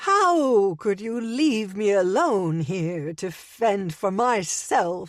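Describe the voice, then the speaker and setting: In a put-on character voice, a woman speaks very slowly at a medium pitch with a shrill sound. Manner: complaining, indignant.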